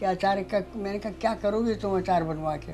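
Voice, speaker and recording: Background music plays while a woman talks. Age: 80s+. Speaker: home pickle business owner. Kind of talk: interview answer.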